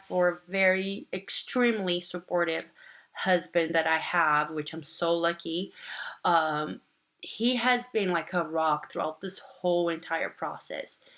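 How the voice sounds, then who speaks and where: Fairly slow speech from a woman with a fairly low pitch, a bright, sharp tone and ordinary pitch variation. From Brazil. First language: Portuguese. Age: 30s. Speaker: nursing student vlogger. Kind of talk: casual vlog monologue. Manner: hesitant, many fillers.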